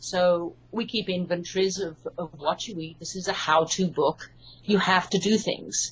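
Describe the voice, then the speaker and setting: Somewhat breathy, the voice has a British accent and ordinary pitch variation. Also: woman. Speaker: hypnotherapist and author. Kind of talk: interview.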